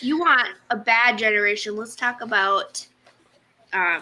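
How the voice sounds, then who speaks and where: Lively in intonation and fairly high in pitch, a woman talks at a fairly slow pace. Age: 20s. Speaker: sewing livestream co-host. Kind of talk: casual chat. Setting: livestream video.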